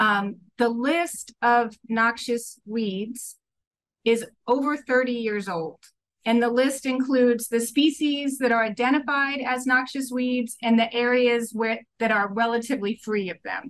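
Her high pitch carries at a fairly slow pace as the woman talks. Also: fairly even intonation. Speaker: remote podcast guest. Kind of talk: interview answer. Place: home room. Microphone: video call.

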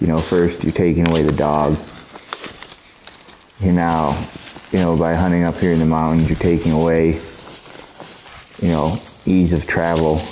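With a very deep, low pitch, a man speaks at a moderate pace in a monotone, flat intonation and very even loudness, leaving long, frequent pauses over noticeable background noise. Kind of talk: reflective documentary narration.

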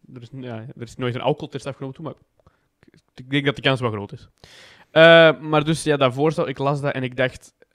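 This man talks with an Antwerp accent at a fairly quick pace. His intonation stays fairly even. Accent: Antwerp-flavoured Flemish tussentaal. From Belgium, Antwerp. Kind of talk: casual chat.

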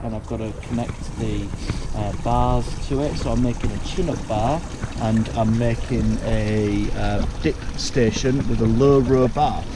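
Noticeable background noise under medium-tempo male speech. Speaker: home DIY vlogger. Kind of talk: casual vlog chat. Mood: cheerful, self-deprecating. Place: garden. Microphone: phone near.

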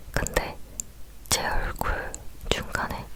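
Noticeable background noise is present. Under it, a woman whispers. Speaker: ASMR creator. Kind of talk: whispered talking ASMR, casual personal story. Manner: whispered.

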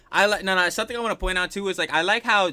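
Talking at a very fast pace, a man has a bright, sharp tone. Vocal fry runs through his voice. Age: 20s. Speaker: reaction video youtuber. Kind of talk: casual reaction chat. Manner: animated.

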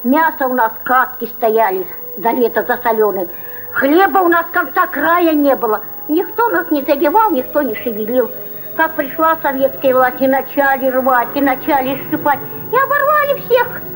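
With faint music in the background, a woman speaks at a moderate pace in a high voice. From Russia. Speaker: peasant. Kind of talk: documentary interview answer. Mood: bitter, lamenting. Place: farm.

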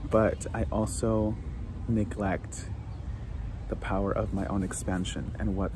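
Noticeable background noise surrounds a man with a very deep, low pitch, in a dry sound with no echo. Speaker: vlogger. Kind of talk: casual vlog chat. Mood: reflective, thoughtful. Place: garden. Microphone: phone near.

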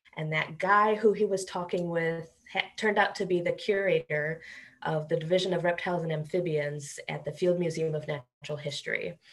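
Speaking at a fairly quick pace, a woman uses an unremarkable speaking voice, fairly low in pitch, with fairly even intonation and an American accent. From Chicago area, US. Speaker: primatologist professor. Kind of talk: interview. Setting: video call.

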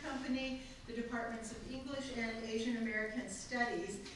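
A woman's voice with strong room echo and light background noise. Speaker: event host introducing speakers. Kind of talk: formal introduction. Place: hall.

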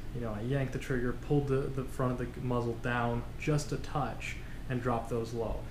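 A man talks at a moderate pace with ordinary pitch variation as noticeable background noise carries on. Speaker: hobby shooter reviewing results. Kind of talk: casual vlog chat. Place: home room. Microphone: camera far.

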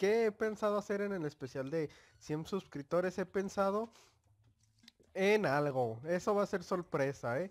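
A man with a Mexican accent, high pitch and fairly slow pace, in a very clean recording with a silent background. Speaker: gaming youtuber. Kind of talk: gameplay commentary. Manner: animated.

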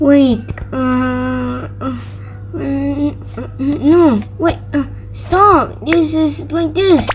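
A female-sounding voice puts on a cartoonish character voice at a very slow pace. Clear background noise sits behind it. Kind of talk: fan dub of cartoon stick figure voices.

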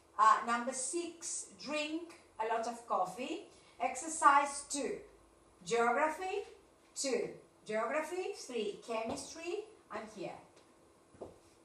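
A woman's raised, projected voice, high-pitched with a bright, sharp tone and very wide pitch swings, very slow, with audible room echo. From Argentina. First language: Spanish. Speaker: English teacher. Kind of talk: online class. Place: classroom. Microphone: camera far.

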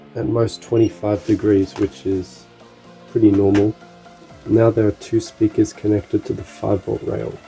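Faint music plays in the background as the speech moves at a fairly slow pace. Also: man. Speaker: electronics hobbyist. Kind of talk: casual electronics tutorial narration. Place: workshop. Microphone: phone near.

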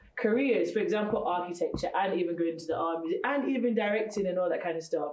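Audible room echo surrounds a woman speaking with ordinary pitch variation. Light background noise sits underneath. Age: young. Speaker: event host. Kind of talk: motivational event hosting. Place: classroom.

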